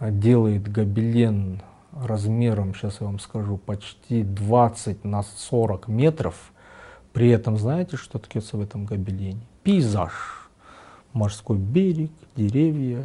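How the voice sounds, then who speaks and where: Very slow and somewhat breathy, a man with a fairly low pitch and a dark, mellow tone speaks with long, frequent pauses. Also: ordinary pitch variation. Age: 50s. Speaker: tapestry artist. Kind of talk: interview. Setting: artist's studio.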